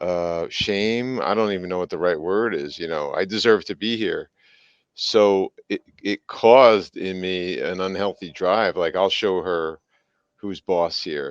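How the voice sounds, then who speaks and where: This is a normal speaking voice from a man, fairly low in pitch with ordinary pitch variation. He talks at a fairly slow pace, with a dry, close sound with no echo and a quiet background. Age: 60s. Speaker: business executive and coach. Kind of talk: interview testimony.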